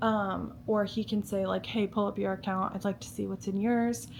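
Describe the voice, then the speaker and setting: A woman's medium-pitched voice moves at a moderate pace, its pitch varying in an ordinary way. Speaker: lifestyle vlogger. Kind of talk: casual chat. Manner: casual, filler-heavy; soft-spoken.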